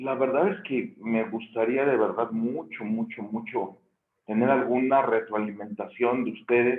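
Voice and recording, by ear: A man talks at a fairly slow pace in a medium pitch. His voice is hoarse and gravelly.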